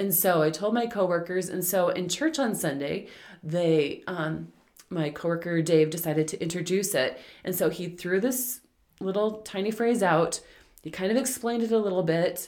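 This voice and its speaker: A woman with an unremarkable speaking voice talks at a moderate pace. Her pitch is medium, with ordinary pitch variation. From Alberta, Canada. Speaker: missionary and Bible translator. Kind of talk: interview conversation.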